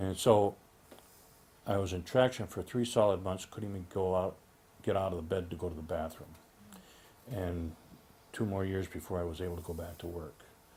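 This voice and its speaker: A man with a very deep, low pitch speaks in a dark, mellow, somewhat breathy tone, leaving long, frequent pauses. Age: 60s. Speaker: patient giving testimony. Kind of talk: testimony. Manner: halting, with many fillers.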